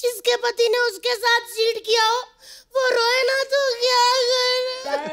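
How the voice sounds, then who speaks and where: A female-sounding voice, put on as a character, speaks at a moderate pace and an extremely high pitch. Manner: tearful, distressed.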